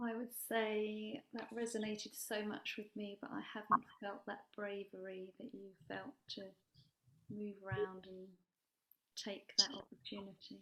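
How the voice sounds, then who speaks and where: A woman speaks quietly at a fairly slow pace, her pitch fairly high and her intonation fairly even. Her tone is bright and sharp, and her loudness swings widely. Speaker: workshop participant. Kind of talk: group discussion. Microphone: too quiet, no headset mic.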